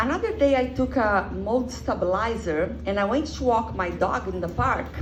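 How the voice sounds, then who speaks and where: A woman with a Brazilian Portuguese accent at a moderate pace, amid noticeable background noise and audible room echo. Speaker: comedian. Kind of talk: stand-up. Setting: stage with audience.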